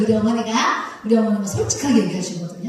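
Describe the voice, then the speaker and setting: A woman speaks in an animated tone at a fairly high pitch. There is noticeable background noise and audible room echo. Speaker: pastor's wife and preacher. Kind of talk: sermon.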